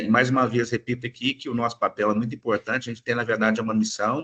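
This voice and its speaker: Medium-pitched male voice with a bright, sharp tone over a quiet background. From Minas Gerais, Brazil. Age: 40s. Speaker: lawyer giving a talk. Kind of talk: lecture. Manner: hesitant, many fillers.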